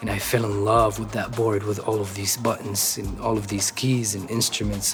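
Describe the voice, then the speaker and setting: The intonation is monotone and flat, in a Levantine Arabic accent. Background noise is noticeable. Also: man. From Syria, Damascus. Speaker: musician, rapper and producer. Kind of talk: interview. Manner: hesitant, many fillers.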